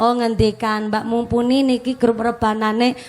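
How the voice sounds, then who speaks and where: A woman in a Javanese accent, fairly high in pitch, monotone and flat, at a fairly slow pace. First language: Javanese (speaking Indonesian). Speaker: female Islamic preacher. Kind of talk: religious lecture. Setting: mosque gathering with audience.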